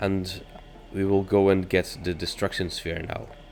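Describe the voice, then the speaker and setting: Over noticeable background noise, a man with a non-native accent speaks at a fairly slow pace in a very deep, low pitch. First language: not English. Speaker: gaming YouTuber. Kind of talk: gameplay commentary. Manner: casual, hesitant with fillers.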